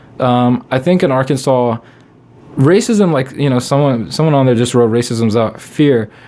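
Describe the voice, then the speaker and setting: Amid noticeable background noise, a man speaks with very even loudness and ordinary pitch variation. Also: medium pitch for a man, moderate pace. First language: not English. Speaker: comedian. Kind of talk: casual chat.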